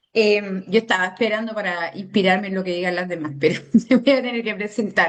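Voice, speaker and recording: A woman speaks at a fairly quick pace. Her medium pitch shows ordinary variation. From Andalusia, Spain. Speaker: activist and human rights defender. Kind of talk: interview. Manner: hesitant, many fillers.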